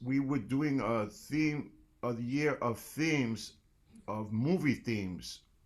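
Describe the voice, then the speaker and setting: A man with a New York accent and ordinary pitch variation, in a very clean recording with a silent background. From New York City, South Bronx. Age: 60s. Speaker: jazz percussionist and band leader. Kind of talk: guest lecture.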